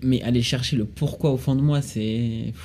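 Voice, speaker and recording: A man's ordinary speaking voice, medium in pitch with ordinary pitch variation. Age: 20s. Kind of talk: casual chat.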